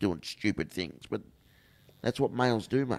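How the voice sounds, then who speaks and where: Someone speaks with an Australian accent at a moderate pace. The recording is very clean, with a silent background. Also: man. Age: 50s. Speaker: inspirational speaker. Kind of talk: casual chat.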